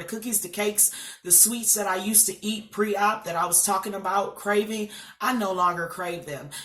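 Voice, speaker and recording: Over noticeable background noise, a woman speaks at a moderate pace with medium pitch and fairly even intonation. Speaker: vlogger sharing weight loss surgery journey. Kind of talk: casual vlog talk to camera. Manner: hesitant fillers, um and uh.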